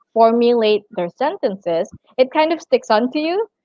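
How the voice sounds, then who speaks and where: A woman is talking here. Her pace stays moderate. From Brunei. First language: Malay. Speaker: tourism and hospitality worker. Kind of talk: interview.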